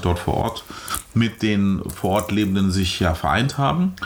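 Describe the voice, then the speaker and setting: A man's voice comes through with noticeable noise in the background. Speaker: podcast host. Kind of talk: casual chat. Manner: talkative.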